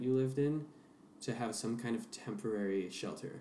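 The voice has fairly even intonation, with audible echo from the room. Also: man. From US Pacific Northwest, Seattle. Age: 20s. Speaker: performer and musician. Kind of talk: casual interview chat.

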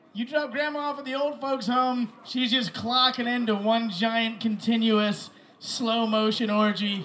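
A man speaks at an extremely high pitch and a fairly slow pace, with fairly even intonation. Noticeable background noise is audible. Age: young. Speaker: comedian. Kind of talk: stand-up.

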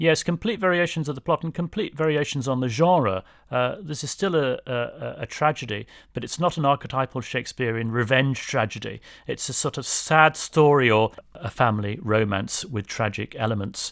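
Medium-pitched male voice with a British accent and lively intonation, at a moderate pace. The recording is very clean, with a silent background. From England. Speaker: English professor. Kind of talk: interview.

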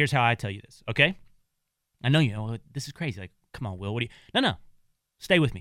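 A man with an American accent, a bright, sharp tone, lively intonation, a very fast pace broken by long, frequent pauses, big swings in loudness, and a very clean recording with a silent background. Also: medium pitch for a man. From Texas (small town). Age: 30s. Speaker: radio host. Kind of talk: casual chat.

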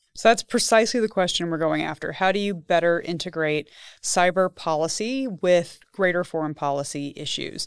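Using a normal speaking voice, a woman with an American accent talks at a moderate pace at a fairly low pitch, with ordinary pitch variation, on a very clean recording with a silent background. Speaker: policy researcher. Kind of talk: interview conversation. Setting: studio.

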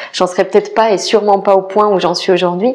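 Noticeable background noise runs behind the speaker. She is a woman whose intonation stays fairly even. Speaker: podcast host and life coach. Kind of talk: personal storytelling monologue. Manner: hesitant, many fillers.

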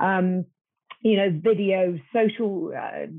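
A woman with a British accent speaks at a medium pitch. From Britain. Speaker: marketing agency executive. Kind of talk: panel discussion.

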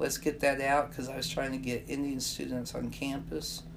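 With audible room echo around her, a woman speaks in an American accent. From US Midwest, southeast Kansas. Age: 60s. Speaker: journalism professor and activist. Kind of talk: casual interview.

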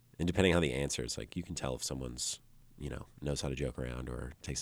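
Speaking very fast in a US Midwestern accent, a man uses a very deep, low pitch with ordinary variation and vocal fry. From Illinois, Dixon. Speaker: musician. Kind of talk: casual chat.

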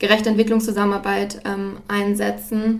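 Against audible room echo, a woman with a medium pitch talks at a fairly quick pace in a monotone, flat intonation. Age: 20s. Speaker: student and podcast host. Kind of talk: interview. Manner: halting with frequent fillers.

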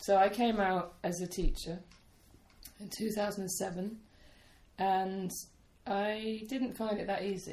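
This woman's voice sits at a medium pitch. It comes across as somewhat breathy. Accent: British. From United Kingdom. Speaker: camp teacher and song leader. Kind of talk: casual interview chat. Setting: sitting in a room in Poland.

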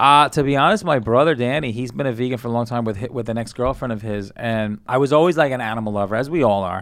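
A man with a New York accent speaks at a very fast pace with hardly any pauses, at a medium pitch with ordinary pitch variation. The recording is very clean, with a silent background. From Brooklyn, New York City. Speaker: comedian. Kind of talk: casual chat.

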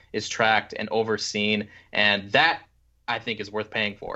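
A man with a normal speaking voice, medium in pitch, at a moderate pace. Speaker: podcast co-host. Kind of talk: casual chat.

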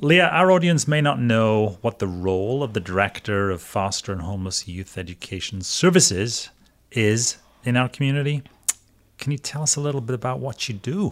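Using very wide pitch swings, a man with a Welsh accent talks at a medium pitch. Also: moderate pace. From Wales. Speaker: school superintendent and podcast host. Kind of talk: podcast interview.

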